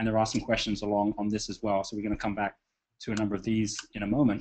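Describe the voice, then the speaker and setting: A man talks at a very fast pace in a fairly low pitch. His intonation is monotone and flat. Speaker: webinar host, business speaker. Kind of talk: live webinar talk. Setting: online conference call. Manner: halting, many fillers.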